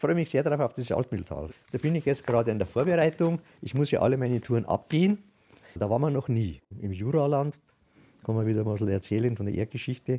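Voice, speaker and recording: A man's very fast delivery, medium in pitch, with a dark, mellow tone and lively intonation. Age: 70s. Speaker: retired volunteer. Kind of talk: interview.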